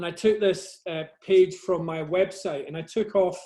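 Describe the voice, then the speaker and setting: This man has a Scottish accent and a dark, mellow tone. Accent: soft Scottish. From Scotland, Glasgow area. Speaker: nature photographer. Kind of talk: presentation to a camera club. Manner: halting, many fillers and repeats.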